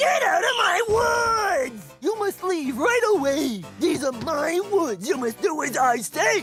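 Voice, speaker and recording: A gruff, put-on character voice speaks at a fairly slow pace with extremely high pitch and very wide pitch swings, while music plays clearly in the background. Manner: grouchy, yelling.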